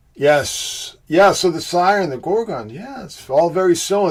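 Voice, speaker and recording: A man speaks with a Boston accent. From Boston, US. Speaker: livestream host, symbolism researcher. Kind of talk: live stream chat with viewers.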